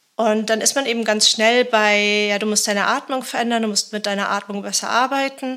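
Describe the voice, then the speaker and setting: The tone is bright and sharp, with a monotone, flat intonation. The pace is fairly quick. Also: woman, fairly high pitch for a woman. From Germany. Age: 40s. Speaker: journalist and author. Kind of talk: interview. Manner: hesitant, many fillers.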